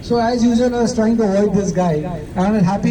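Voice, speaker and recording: With an Indian accent, a man speaks at a fairly quick pace and a high pitch for a man, his intonation fairly even. The recording has audible room echo and noticeable background noise. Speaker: colleague giving farewell speech. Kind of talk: farewell speech.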